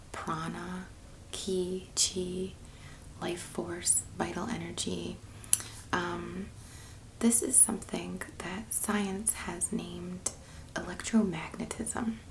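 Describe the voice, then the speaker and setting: Soft-spoken and in a relaxed tone, a woman talks at a very slow pace with long, frequent pauses over noticeable background noise. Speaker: Reiki practitioner and ASMR creator. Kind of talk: unscripted spiritual talk to camera, ASMR style. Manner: soft-spoken, relaxed.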